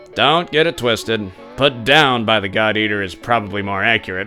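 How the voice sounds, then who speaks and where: Over clear background music, a man does a put-on character voice at a medium pitch and a fairly quick pace. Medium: read story. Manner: calm, matter-of-fact.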